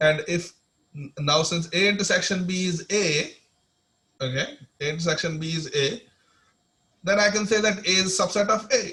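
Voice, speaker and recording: A raised, projected voice at a moderate pace, with ordinary pitch variation and long, frequent pauses. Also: man, high pitch for a man. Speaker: mathematics lecturer. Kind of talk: online lecture. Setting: video call.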